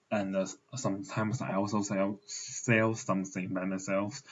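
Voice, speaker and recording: Speaking very slowly in a Mandarin accent, a man uses a fairly low pitch. His intonation is fairly even. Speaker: translation student. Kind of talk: recorded self-presentation. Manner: halting with fillers.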